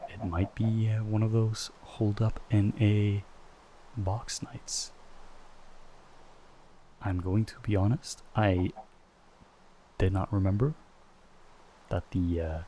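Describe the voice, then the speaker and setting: Soft-spoken and somewhat breathy, a man talks at a fairly low pitch with a dark, mellow tone and fairly even intonation. His pace is very slow, with long, frequent pauses. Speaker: ASMR gaming creator. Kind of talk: soft-spoken ASMR gameplay commentary.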